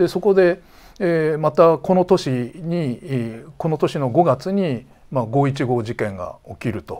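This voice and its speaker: A man's dark, mellow tone at a fairly high pitch and a very slow pace. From Tochigi, Japan. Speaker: defense journalist. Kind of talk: interview. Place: studio. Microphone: lapel.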